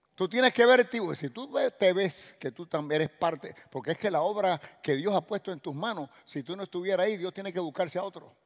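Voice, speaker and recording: A high-pitched man at a fairly quick pace, ordinary pitch variation, quiet background. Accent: Cuban. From Cuba. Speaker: pastor. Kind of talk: sermon. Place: church. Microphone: headset.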